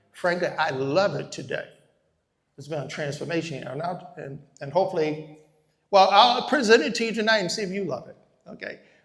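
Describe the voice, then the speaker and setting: Here a man talks at a fairly quick pace and a high pitch, with long, frequent pauses and big swings in loudness. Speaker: real estate investor and educator. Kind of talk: live workshop presentation. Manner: fast.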